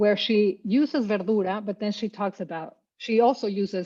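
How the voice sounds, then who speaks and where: In a Spanish accent, a woman speaks with fairly even intonation and a dark, mellow tone over a quiet background. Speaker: poet-translator. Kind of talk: panel discussion. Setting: video call.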